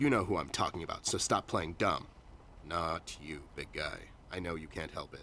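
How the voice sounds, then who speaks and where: A man uses a put-on character voice, gruff and very deep in pitch. He talks at a moderate pace with clear background noise. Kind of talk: noir detective drama. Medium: video game. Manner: gruff, terse, hard-boiled.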